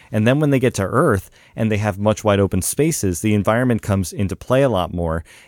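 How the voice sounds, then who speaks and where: Very fast speech from a man with lively intonation and a fairly low pitch, on a very clean recording with a silent background. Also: dry, close sound with no echo. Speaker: podcast guest. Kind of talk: casual chat.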